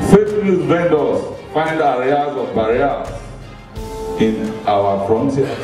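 A man speaks at a very slow pace, his pitch swinging very widely. Audible room echo and clear background music accompany him. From Nigeria. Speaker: poet. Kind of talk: poetry reading. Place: hall.

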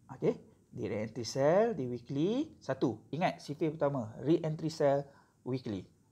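Against a quiet background, a man with a normal speaking voice talks at a fairly slow pace, pitched fairly high with lively intonation. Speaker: forex trading mentor. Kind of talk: tutorial. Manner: casual, code-switching with filler sounds.

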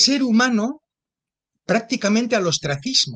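Against a quiet background, a man speaks in a bright, sharp tone. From Spain, Zaragoza; Spain. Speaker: theologian; interview guest. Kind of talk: interview. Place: home room. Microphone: video call.

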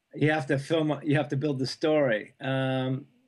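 In a quiet setting, the man's words come at a moderate pace. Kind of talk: interview answer. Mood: relaxed, smiling. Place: home room. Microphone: video call.

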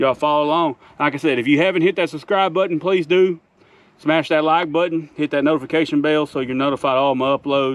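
At a very fast pace, a man speaks with fairly even intonation in a dry sound with no echo. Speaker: homesteader vlogger. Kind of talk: casual vlog chat. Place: farm machine.

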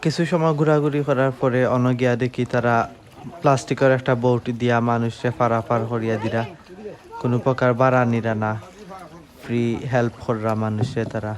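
Against noticeable background noise, a man at a medium pitch speaks with fairly even intonation. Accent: Sylheti. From Bangladesh, Sylhet (Beanibazar). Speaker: vlogger. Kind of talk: vlog narration.

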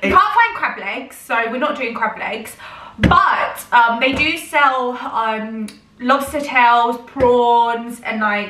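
Amid light background noise and audible room echo, a woman with a high pitch talks at a very slow pace. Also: ordinary pitch variation. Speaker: vlogger. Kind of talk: casual vlog chat. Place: kitchen.

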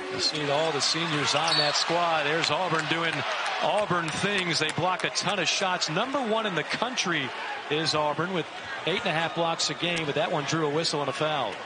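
Over loud background noise, a man speaks at a moderate pace with ordinary pitch variation, the sound dry with no echo. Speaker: play-by-play announcer. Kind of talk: commentary. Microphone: headset.

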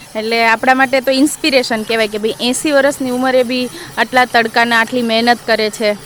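A woman speaks in a high pitch with monotone, flat intonation. Noticeable background noise can be heard. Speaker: vlogger. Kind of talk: casual vlog narration.

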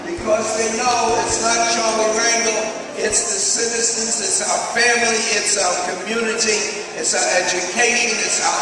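Strong room echo and noticeable background noise surround a man whose raised, projected voice moves at a moderate pace. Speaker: politician giving a speech. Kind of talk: public speech. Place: hall.

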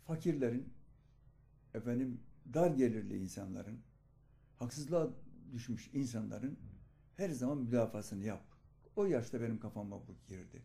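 Long, frequent pauses break up a man's somewhat breathy speech at a moderate pace and medium pitch. His tone is dark and mellow, with big swings in loudness. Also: ordinary pitch variation. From Turkey, Aegean (Ödemiş, İzmir); Turkey. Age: 70s. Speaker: local journalist, retired teacher. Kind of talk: documentary interview. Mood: earnest storytelling. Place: home room.

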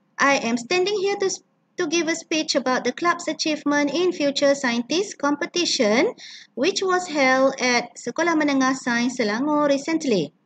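This woman's voice is high-pitched with ordinary pitch variation. Her loudness stays very even throughout. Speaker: English teacher. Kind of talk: tutorial. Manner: slow, instructive.

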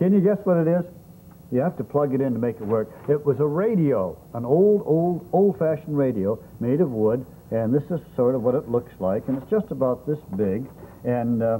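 A man at a moderate pace with very wide pitch swings, light background noise behind him. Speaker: children's TV host. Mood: warm, playful, slow. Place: studio. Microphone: lapel.

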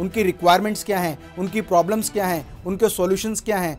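A man speaks with a high voice and ordinary pitch variation. Faint music plays in the background. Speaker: business trainer. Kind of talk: lecture. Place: studio. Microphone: lapel.

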